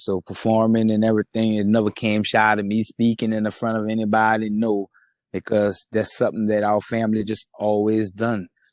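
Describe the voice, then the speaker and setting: A man speaks at a moderate pace with a fairly low pitch. The sound is dry and close with no echo, over a quiet background. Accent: Louisiana. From Louisiana, Lafayette (north side). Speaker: rapper. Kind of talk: interview. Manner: casual.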